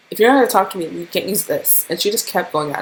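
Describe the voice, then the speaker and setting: A woman speaks over noticeable background noise. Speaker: YouTuber. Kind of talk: storytime vlog. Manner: animated.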